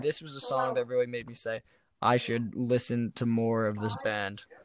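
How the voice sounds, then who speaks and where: A man at a moderate pace, with a slight New Jersey accent. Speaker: musician and podcast co-host. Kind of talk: casual chat.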